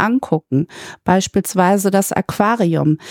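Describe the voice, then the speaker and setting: A woman in an ordinary speaking voice, medium-pitched and fairly slow, with a dry, close sound and no echo. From Germany, Münster. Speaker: administrative manager. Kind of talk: interview.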